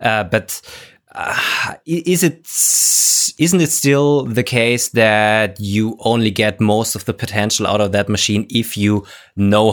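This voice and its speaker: With a German accent, a man speaks at a fairly low pitch and a fairly slow pace, using ordinary pitch variation on a very clean recording with a silent background. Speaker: podcast co-host and maker. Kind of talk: casual podcast chat. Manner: halting, searching for words.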